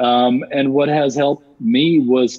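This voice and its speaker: This man's voice sits at a medium pitch. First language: not English. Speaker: cross-cultural business consultant. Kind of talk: interview. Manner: halting, many repetitions.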